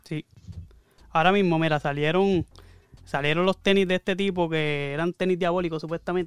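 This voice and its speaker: A man talks at a high pitch and a fairly quick pace with long, frequent pauses, in monotone, flat intonation and a dry, close sound with no echo. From Puerto Rico. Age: 30s. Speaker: podcast co-host. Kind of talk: casual chat.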